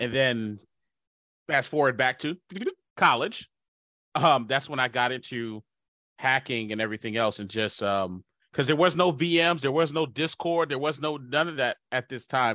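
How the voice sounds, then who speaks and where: A man's bright, sharp, animated and upbeat tone, ordinary pitch variation, long, frequent pauses and a dry, close sound with no echo. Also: medium pitch for a man, moderate pace. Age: 40s. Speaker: cybersecurity company CEO. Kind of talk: casual interview chat. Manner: animated, upbeat.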